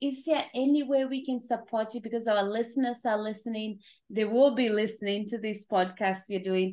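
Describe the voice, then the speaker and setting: A woman speaks with a plain, everyday voice. Her intonation is fairly even and her pace moderate. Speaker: podcast host. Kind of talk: casual chat.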